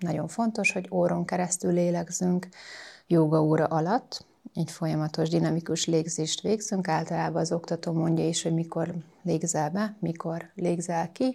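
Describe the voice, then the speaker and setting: A woman with a fairly low pitch and a dark, mellow tone speaks calmly at a moderate pace with fairly even intonation, on a very clean recording with a silent background. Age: 40s. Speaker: yoga instructor and masseuse. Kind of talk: interview.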